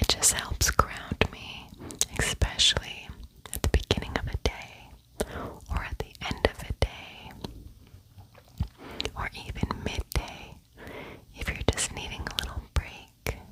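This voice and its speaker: Whispering at a very slow pace, a woman shows big swings in loudness over noticeable background noise. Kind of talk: ASMR voice-over. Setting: home, voice-over. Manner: whispered.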